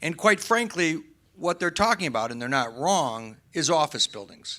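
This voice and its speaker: A loud man speaks at a moderate pace with very wide pitch swings and a bright, sharp tone. The recording is very clean, with a silent background. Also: fairly high pitch for a man. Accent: American. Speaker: real estate developer panelist. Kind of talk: panel discussion.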